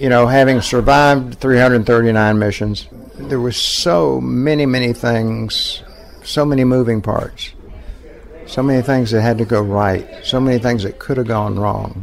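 A man talks at a fairly slow pace with ordinary pitch variation. Noticeable background noise runs behind him. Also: medium pitch for a man. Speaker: war veteran, former fighter pilot. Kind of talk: personal interview, storytelling.

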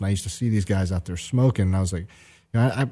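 A man with a Southern US accent has a dark, mellow tone and ordinary pitch variation. The recording is very clean, with a silent background. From Atlanta, Georgia. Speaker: recovery advocate and former addict. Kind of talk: interview. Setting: studio. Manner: halting, with fillers and repeats.

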